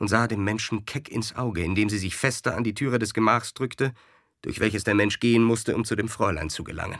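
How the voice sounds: The passage is delivered in a natural reading voice.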